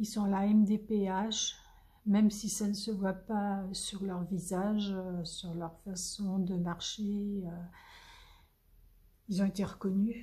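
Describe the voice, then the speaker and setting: Speaking very slowly, a woman has a medium-pitched, somewhat breathy voice with a dark, mellow tone. Her intonation is monotone and flat. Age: 70s. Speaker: crafting youtuber. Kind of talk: casual chat. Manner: halting.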